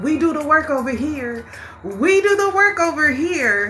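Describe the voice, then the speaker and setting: A woman's raised, projected voice with an animated tone and lively intonation, music playing in the background. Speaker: spiritual live-stream host, tarot reader. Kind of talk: live-stream motivational talk. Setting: TikTok live stream. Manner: loud, animated.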